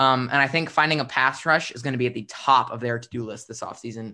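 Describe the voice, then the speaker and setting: Talking at a very fast pace, a man with an American accent has a bright, sharp tone against a quiet background. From US, Philadelphia. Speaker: sports podcast host. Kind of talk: casual football discussion. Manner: halting, many repeated words and fillers.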